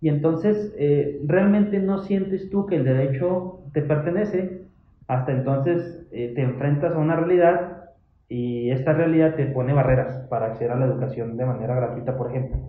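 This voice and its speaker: With audible room echo, a man speaks at a fairly high pitch and moderate pace, his pitch varying in an ordinary way. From Mexico, Chihuahua (Parral). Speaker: human rights commission staff. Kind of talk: casual interview. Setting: office visit.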